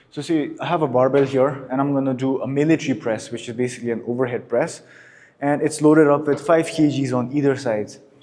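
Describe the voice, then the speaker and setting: With audible room echo around him, a man speaks very fast in a fairly high pitch, his tone dark and mellow and his intonation fairly even. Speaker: fitness youtuber. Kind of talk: tutorial. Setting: gym. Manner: soft-spoken.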